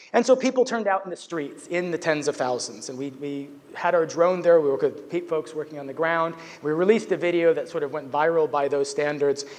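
This man's pitch shifts in a normal way as he talks rather quickly. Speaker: conference speaker. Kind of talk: lecture. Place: stage.

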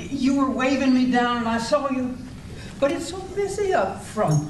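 Noticeable background noise runs under a voice speaking at a fairly slow pace. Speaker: amateur actor playing a waitress. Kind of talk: scripted comedy dialogue. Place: hall. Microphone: camera far.

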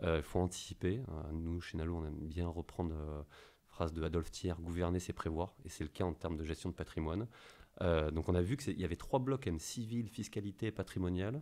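A very deep, low male voice, dark and mellow, with ordinary pitch variation and a fairly quick pace. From France. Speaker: investment company representative; podcast debrief. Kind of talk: casual chat. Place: office. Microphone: studio mic.

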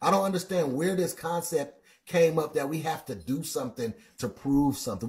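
Lively intonation at a moderate pace over a quiet background. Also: man. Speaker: livestream Bible teacher. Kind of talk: sermon-like livestream commentary. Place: home room.

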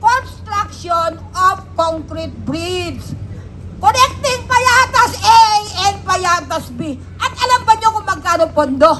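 Shouting very slowly, a woman's voice swings widely in loudness over noticeable background noise. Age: 70s. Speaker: senior citizen protest speaker. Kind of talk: protest speech. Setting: outdoors. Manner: loud, shouting.

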